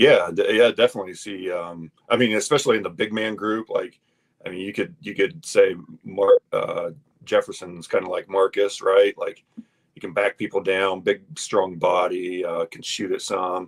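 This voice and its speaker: A man with a Midwestern US accent at a moderate pace, with big swings in loudness and a dry, close sound with no echo. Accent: US Midwest. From Iowa. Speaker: former college basketball player. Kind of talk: casual chat. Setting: studio. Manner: halting, many fillers.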